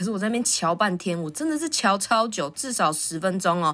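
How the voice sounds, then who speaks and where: A woman at a medium pitch, fairly quick and animated in tone, on a very clean recording with a silent background. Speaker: podcast host. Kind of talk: casual monologue. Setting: recording at the office.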